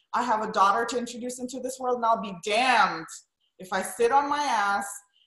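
With audible room echo, a woman speaks at a moderate pace and with fairly even intonation. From Romania. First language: Romanian. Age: 30s. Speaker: wedding and portrait photographer. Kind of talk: interview.

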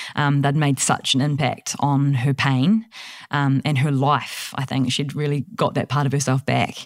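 In a New Zealand accent, a woman speaks with a very deep, low pitch, fairly even intonation and very even loudness. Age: 30s. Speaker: studio manager. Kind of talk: casual chat. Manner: fast talker, highly strung.

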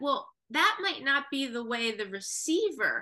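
A woman's raised, projected voice rings out, high-pitched with a bright, sharp tone. She moves through very wide pitch swings against a quiet background. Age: 40s. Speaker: music educator and speaker. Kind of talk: interview.

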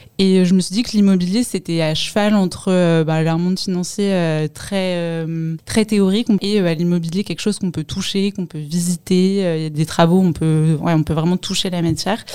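An unremarkable speaking voice from a woman, pitched fairly low, delivered at a moderate pace. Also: fairly even intonation. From Paris, France. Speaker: fund management analyst. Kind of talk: interview testimony.

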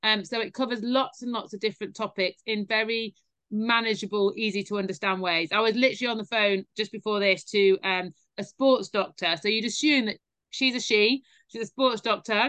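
This woman has a British accent and a fairly high pitch. Her intonation is fairly even, and her pace is fairly quick. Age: 40s. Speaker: fitness educator and former elite rower. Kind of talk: interview conversation.

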